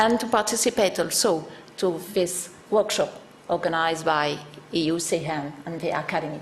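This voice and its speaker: With a strong French accent, a woman speaks at a moderate pace in a fairly low pitch with ordinary pitch variation, amid audible room echo and noticeable background noise. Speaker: academic researcher. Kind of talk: conference presentation.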